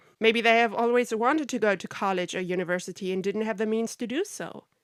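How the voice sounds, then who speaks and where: At a fairly quick pace, a woman with a German accent speaks with ordinary pitch variation, the sound dry and close with no echo on a very clean recording with a silent background. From Germany. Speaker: podcaster on narcissistic abuse, film industry worker. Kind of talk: podcast monologue.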